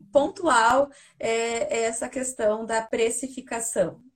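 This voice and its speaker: A woman with a high pitch talks at a very slow pace, using ordinary pitch variation. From Brazil, Paraná. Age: 30s. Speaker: physiotherapist. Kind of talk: casual interview. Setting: live video call.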